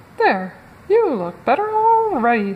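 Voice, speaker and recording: Putting on a character voice, a woman speaks at a high pitch with very wide pitch swings and a fairly slow pace. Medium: read story. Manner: breezy, upbeat.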